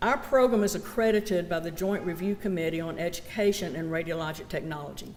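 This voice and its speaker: A woman with a Southern US accent uses ordinary pitch variation, and audible room echo surrounds her voice. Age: 60s. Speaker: college program director. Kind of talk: ceremony speech.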